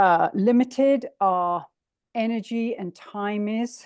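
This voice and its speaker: With an English accent, the speaker shows ordinary pitch variation in a dry, close sound with no echo. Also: woman. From England. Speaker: breathing coach, long covid sufferer. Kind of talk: online presentation. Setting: video call.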